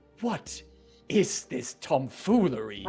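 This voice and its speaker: Very wide pitch swings mark this put-on character voice, with faint music in the background. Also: man, medium pitch for a man. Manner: haughty, disapproving.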